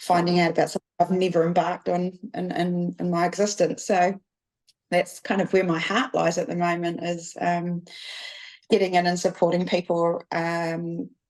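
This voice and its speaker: A New Zealand accent at a moderate pace, with monotone, flat intonation. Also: woman, fairly low pitch for a woman. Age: 40s. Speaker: business production manager. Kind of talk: podcast interview. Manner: halting, many fillers.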